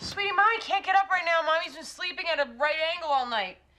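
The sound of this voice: A woman races along in a put-on character voice at an extremely high pitch, with a bright, sharp tone and lively intonation.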